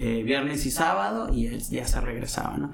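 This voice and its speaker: A man with a fairly high pitch is heard through noticeable background noise and audible room echo. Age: 30s. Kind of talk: casual chat. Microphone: some echo.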